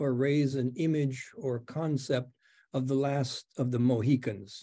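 A man's dark, mellow tone against a quiet background. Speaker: professor, interlocutor; professor. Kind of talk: interview questions. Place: home room. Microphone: webcam.

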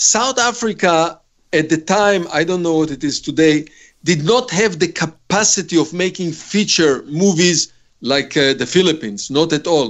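The man speaks at a high pitch with lively intonation. The background is quiet. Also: fairly slow pace. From Israel. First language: Hebrew (speaking Portuguese). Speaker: film director; interviewee. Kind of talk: interview. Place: home room. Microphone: webcam.

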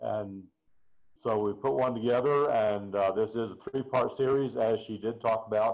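With a quiet background, a man speaks using ordinary pitch variation. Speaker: presenter. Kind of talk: lecture. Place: home room. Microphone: webcam.

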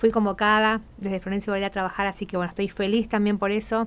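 A woman speaks at a very fast pace. Her medium-pitched voice stays monotone, with flat intonation. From Argentina, Corrientes; Argentina. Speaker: carnival troupe leader; radio guest. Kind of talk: radio interview. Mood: happy, emotional. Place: studio. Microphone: studio mic.

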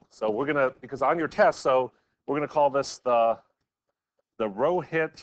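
A man's pitch varies in an ordinary way as he talks at a moderate pace. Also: quiet background. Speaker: math professor. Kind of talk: lecture. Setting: classroom with hybrid online students. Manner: halting, many fillers. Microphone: video call.

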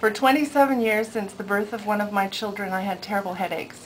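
A woman's medium-pitched voice with fairly even intonation and light background noise. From Alberta, Canada (farm north of Calgary); Alberta. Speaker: patient giving a testimonial. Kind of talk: testimony. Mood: warm, hopeful. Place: office.

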